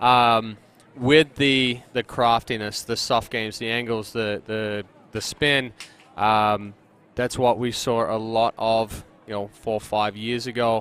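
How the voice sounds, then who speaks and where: With an Australian accent, a man speaks at medium pitch and a very slow pace in a monotone, flat delivery. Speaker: sports commentator. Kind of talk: live commentary. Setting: commentary booth at outdoor tournament.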